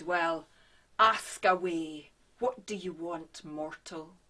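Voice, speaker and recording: The pace is very slow. A put-on character voice speaks at a middle pitch. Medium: stage play. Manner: terse, aloof.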